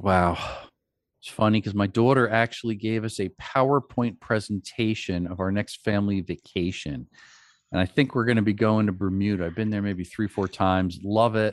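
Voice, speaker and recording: A man with an ordinary speaking voice talks at a moderate pace in a fairly low pitch, recorded very cleanly against a silent background with a dry, close sound and no echo. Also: ordinary pitch variation. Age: 50s. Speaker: tech company CEO. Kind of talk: interview conversation.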